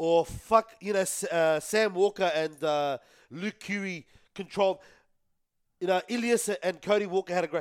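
A man's high-pitched voice with an Australian accent, ordinary pitch variation and a moderate pace, in a very clean, dry, close recording with no echo and a silent background. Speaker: rugby league podcast panelist. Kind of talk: casual sports chat. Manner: loud, shouty.

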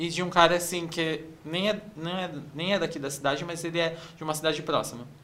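Fairly even intonation and a fairly quick pace come through audible room echo and noticeable background noise. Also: man, high pitch for a man. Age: 30s. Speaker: advertising professional. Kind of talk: casual chat.

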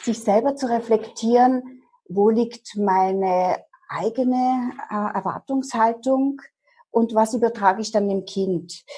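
Very slowly, a woman speaks in a fairly high, somewhat breathy voice with a dark, mellow tone and fairly even intonation. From eastern Germany, Dresden. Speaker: hypnotherapist. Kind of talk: interview.

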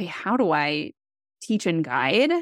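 A woman speaks at a fairly slow pace in an unremarkable speaking voice, her pitch medium. The recording is very clean and dry, close with no echo, over a silent background. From US Midwest, Wisconsin. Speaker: life coach. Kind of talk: interview.

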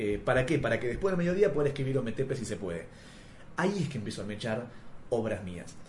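A man at a very fast pace in a Rioplatense accent, medium in pitch with very wide pitch swings, with audible room echo. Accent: Argentine Rioplatense Spanish. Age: 30s. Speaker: comics scriptwriter. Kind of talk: interview.

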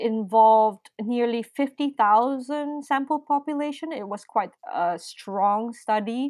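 Against a quiet background, a woman speaks very slowly in a fairly high voice with ordinary pitch variation. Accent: Filipino. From Philippines. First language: Filipino. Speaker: nurse and musician. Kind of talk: casual interview.

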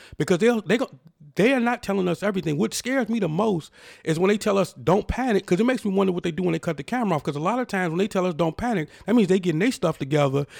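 A man talks very fast in a high-pitched, animated tone with lively intonation, recorded with a dry, close sound and no echo. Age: 40s. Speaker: podcast host. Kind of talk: opinion monologue.

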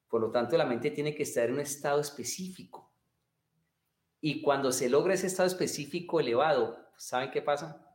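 Ordinary pitch variation comes with a fairly quick pace of speech. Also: man, long, frequent pauses. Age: 50s. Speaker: martial arts and meditation teacher. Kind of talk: interview. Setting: livestream video call.

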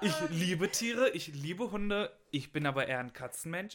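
A man with a plain, everyday voice speaks at a fairly high pitch and moderate pace with lively intonation. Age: 20s. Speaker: university student. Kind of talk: casual chat.

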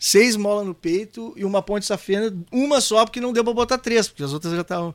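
In a southern Brazilian accent, a man with a high pitch talks at a fairly quick pace with hardly any pauses and ordinary pitch variation. The recording is very clean, with a silent background. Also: dry, close sound with no echo. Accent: gaúcho Brazilian Portuguese. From Porto Alegre, Rio Grande do Sul, Brazil. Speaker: singer and songwriter. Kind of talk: casual interview chat.

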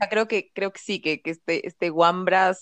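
Speaking at a moderate pace, a woman uses a plain, everyday voice with ordinary pitch variation, the sound dry and close with no echo. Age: 30s. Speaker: podcast co-host. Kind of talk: casual chat.

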